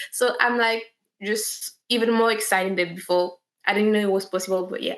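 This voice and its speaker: A woman speaks with a French accent at a fairly high pitch. Her pace is fairly quick and her intonation fairly even. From France. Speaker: actress. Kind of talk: interview.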